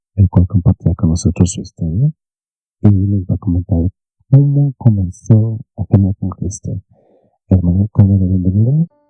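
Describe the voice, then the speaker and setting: A man's fairly low voice at a moderate pace, with ordinary pitch variation, long and frequent pauses, and music in the background. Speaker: podcast host. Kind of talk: podcast interview question.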